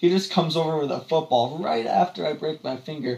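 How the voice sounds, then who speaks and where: A man with a fairly high pitch and ordinary pitch variation, talking at a fairly quick pace over noticeable background noise. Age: 20s. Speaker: podcast co-host and college student. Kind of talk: casual chat. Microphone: echoey audio from poorly set up mic.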